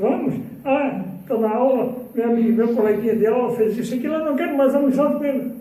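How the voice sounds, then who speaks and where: A man speaks at a moderate pace with an extremely high pitch. Audible room echo and noticeable background noise surround him. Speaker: spiritist lecturer. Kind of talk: spiritual lecture. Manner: animated.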